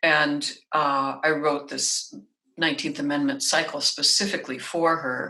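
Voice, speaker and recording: An American-accented woman speaks in a very deep, low pitch at a fairly slow pace. Her intonation is monotone and flat, and room echo can be heard. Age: 60s. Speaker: singer, composer and voice teacher. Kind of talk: interview conversation.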